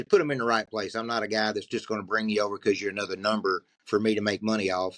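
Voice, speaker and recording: Against a quiet background, a man with a strong Southern US accent speaks in a fairly low voice, with a dry, close sound and no echo. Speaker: podcast co-host and trucking recruiter. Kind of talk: casual podcast conversation. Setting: video podcast recording.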